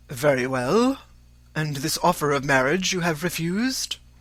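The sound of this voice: Put-on character voice with big pitch swings, a fairly bright tone and a fairly slow pace. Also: man, fairly high pitch for a man.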